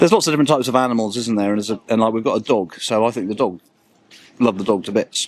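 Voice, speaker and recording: A man rattles along extremely fast, his pitch moving in a normal way. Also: medium pitch for a man. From England, Cornwall. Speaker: member of the public interviewed on the street. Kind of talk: casual street conversation. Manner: halting, many fillers and repetitions.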